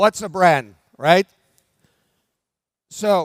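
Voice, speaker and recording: A man with a Norwegian accent speaks very slowly in a high voice, the sound dry and close with no echo. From Norway. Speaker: brand development expert, conference speaker. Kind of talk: conference keynote talk. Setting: stage with audience. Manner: slow, deliberate pace.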